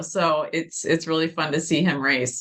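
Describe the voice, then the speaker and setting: Loud and bright with a sharp tone, a woman speaks at a moderate pace with a fairly low pitch. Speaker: podcast host, commercial real estate. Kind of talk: podcast interview.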